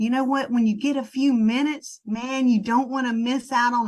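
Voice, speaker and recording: Her pitch high and its variation ordinary, a woman speaks at a moderate pace in a Southern US accent. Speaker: network marketing trainer. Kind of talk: sales team training talk. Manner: casual, conversational.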